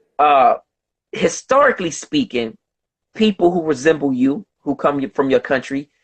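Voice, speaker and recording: At a moderate pace, a man with an unremarkable speaking voice talks in a fairly high pitch and lively intonation. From United States. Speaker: host of online discussion. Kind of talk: debate. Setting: video conference.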